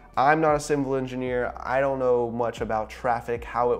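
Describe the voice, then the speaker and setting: At a moderate pace, a man is talking. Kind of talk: explainer vlog commentary. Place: office. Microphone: lapel.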